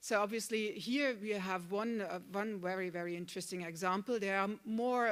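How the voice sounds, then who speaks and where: A woman with a German accent talks at a moderate pace, her medium pitch following fairly even intonation. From Germany. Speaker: panel moderator. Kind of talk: moderated panel introduction. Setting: conference venue with online participants. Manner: halting, many fillers.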